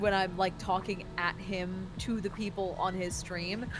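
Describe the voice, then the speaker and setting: A woman speaks at a fairly slow pace and medium pitch, with audible room echo and music in the background. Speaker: podcast host and elementary music teacher. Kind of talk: casual chat. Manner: loud; projecting.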